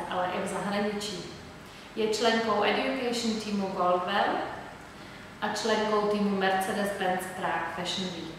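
Strong room echo and light background noise surround this woman. She speaks at a moderate pace with fairly even intonation. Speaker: guest. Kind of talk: announcement vlog presentation. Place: shop. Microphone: camera far.

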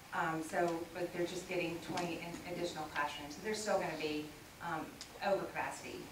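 Amid noticeable background noise and audible room echo, a woman talks at a fairly quick pace in a flat monotone. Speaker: political candidate. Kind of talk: forum answer. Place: meeting room.

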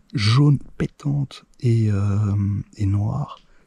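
A man's fairly low, dark, mellow voice with a slightly husky edge, vocal fry, ordinary pitch variation and a very slow pace

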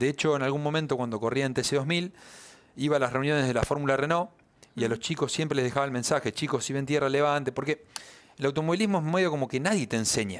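Talking at a very fast pace, a man uses a fairly high pitch with ordinary pitch variation. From Argentina. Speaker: racing driver; guest. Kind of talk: interview. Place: studio. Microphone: headset.

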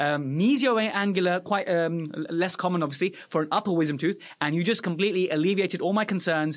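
Against a quiet background, a man with a British accent speaks in a high pitch and an enthusiastic tone. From Afghanistan, raised in UK. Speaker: dental podcast host, dentist; podcast host. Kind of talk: educational interview. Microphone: studio mic.

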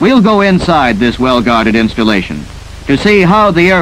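Over noticeable background noise, a man with an American accent and a fairly high pitch speaks in a dramatic tone at a fairly quick pace, his pitch swinging very widely. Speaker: film narrator. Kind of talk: 1950s civil defense film narration. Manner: formal, dramatic, urgent newsreel-style delivery; brisk, authoritative, measured.

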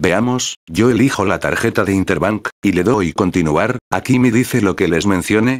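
An ordinary speaking voice with ordinary pitch variation comes at a moderate pace, the sound dry and close with no echo. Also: man. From Peru. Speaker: graphic designer and tutorial youtuber. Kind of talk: tutorial.

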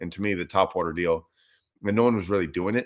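The background is quiet. A man speaks at a fairly low pitch. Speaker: fishing livestream host. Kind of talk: casual livestream chat answering viewer questions. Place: home room. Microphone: webcam.

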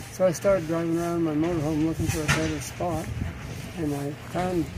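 A man speaks at a fairly quick pace with ordinary pitch variation. The sound is dry with no echo, but loud background noise comes through. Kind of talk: interview answer. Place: open country.

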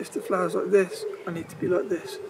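The man talks at a fairly quick pace. The sound is dry with no echo, but background noise is noticeable. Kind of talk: tutorial. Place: garden.

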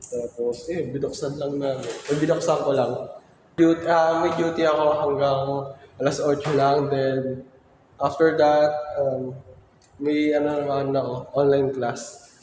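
A man speaks at a fairly slow pace in a fairly high voice with flat, monotone intonation. Audible room echo surrounds the recording. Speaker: student vlogger. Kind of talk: vlog narration. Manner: halting.

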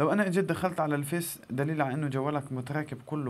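Moderate pace and fairly even intonation from a man with a fairly high pitch and a Gazan accent. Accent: Gazan Palestinian Arabic. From Palestine, northern Gaza Strip. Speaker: YouTuber; tech tips vlogger. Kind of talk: tutorial. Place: home room. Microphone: phone near.

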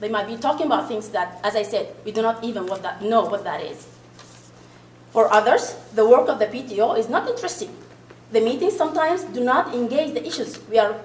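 Over noticeable background noise, a woman with an Arabic accent talks at a fairly quick pace, her fairly high pitch carrying lively intonation. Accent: foreign accent, Arabic-speaking. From Sudan. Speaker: parent committee member. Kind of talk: committee presentation. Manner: halting, repeats words.

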